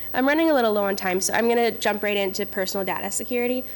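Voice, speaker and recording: Very fast speech from a woman, fairly high in pitch, its pitch variation ordinary. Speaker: privacy lawyer on a panel. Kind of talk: panel presentation.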